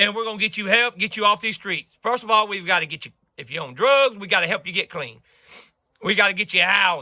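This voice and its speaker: A man talks in a raised, projected voice with a bright, sharp tone and a high pitch, sounding animated at a very fast pace. His pitch variation is ordinary, his loudness swings widely, and the sound is dry and close with no echo. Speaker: video blogger. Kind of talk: political rant to camera.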